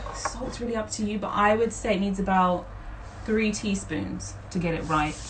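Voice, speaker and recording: A woman speaks at a moderate pace with a medium pitch and fairly even intonation. Audible room echo and noticeable background noise come through. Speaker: home cooking instructor. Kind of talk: live cooking tutorial. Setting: Instagram live stream. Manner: casual, chatty with filler words.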